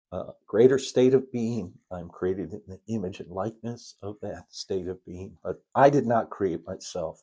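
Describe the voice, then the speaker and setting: With an American accent, a man talks at a fairly slow pace in a fairly low pitch with a dark, mellow tone. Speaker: spiritual teacher. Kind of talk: spiritual lesson livestream. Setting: live stream. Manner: halting.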